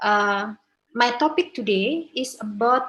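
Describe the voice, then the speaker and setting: A woman's fairly high-pitched voice with ordinary pitch variation and an Indonesian accent. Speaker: law professor. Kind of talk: academic presentation. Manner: halting.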